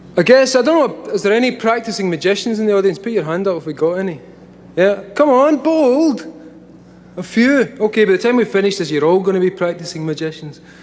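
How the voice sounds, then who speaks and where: This man's pitch is high. He talks at a fairly quick pace over noticeable background noise. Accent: Scottish. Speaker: comic writer giving a talk. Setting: stage, live audience. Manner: casual, profane, conversational.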